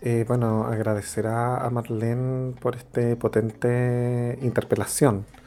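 A man talks at a very slow pace, with hardly any pauses and a medium pitch. His intonation is monotone and flat, and there is noticeable background noise. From Chile, Santiago. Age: 40s. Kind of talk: radio interview.

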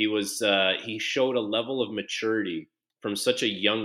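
In a normal speaking voice, a man talks at a moderate pace. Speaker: former hockey player and TSN analyst. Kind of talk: casual interview.

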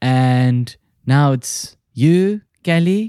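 A man's dark, mellow voice moves with ordinary pitch variation in a dry, close recording with no echo. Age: 30s. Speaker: podcast host. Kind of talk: casual chat.

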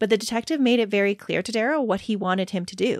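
This woman has a plain, everyday voice at a medium pitch with ordinary pitch variation, recorded very cleanly with a dry, close sound, no echo and a silent background. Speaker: true crime podcast host. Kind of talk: dramatic narration of crime case. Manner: conversational and warm.

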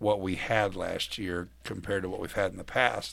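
The speaker is a man. The background is silent and the recording very clean. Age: 40s. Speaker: college basketball radio analyst and former player. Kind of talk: casual chat.

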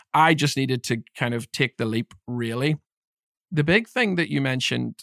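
In a Northern Irish accent, a man speaks at a medium pitch and a fairly quick pace, with a dry, close sound with no echo on a very clean recording with a silent background. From Northern Ireland, Belfast. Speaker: leadership development coach. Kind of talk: interview conversation.

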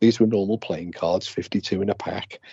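With an English accent, a man talks in a fairly low voice and fairly even intonation. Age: 60s. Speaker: ghost hunter. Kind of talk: casual chat. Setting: phone call. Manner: quieter than usual.

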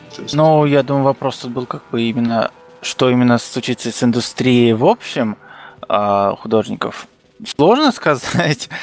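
Amid noticeable background noise, a man with a medium-pitched voice talks at a fairly slow pace with ordinary pitch variation. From Kazakhstan. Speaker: illustrator. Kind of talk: casual chat.

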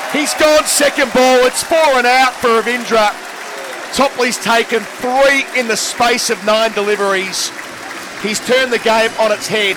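A man's raised, projected voice at an extremely high pitch, with fairly even intonation and a fairly slow pace over crowd noise in the background. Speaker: cricket commentator. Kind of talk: live ball-by-ball cricket commentary. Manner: brisk, measured play-by-play delivery.

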